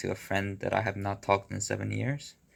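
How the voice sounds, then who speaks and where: In a Korean accent, a man speaks at a fairly low pitch and a moderate pace, with vocal fry in his voice. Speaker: video blogger. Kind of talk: casual vlog monologue. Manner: halting.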